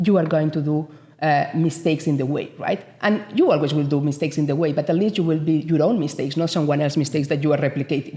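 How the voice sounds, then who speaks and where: A woman's fairly low, somewhat breathy voice with a strong Spanish accent, a dark, mellow tone and a fairly quick pace. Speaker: business association CEO. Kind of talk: interview. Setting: studio. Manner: animated.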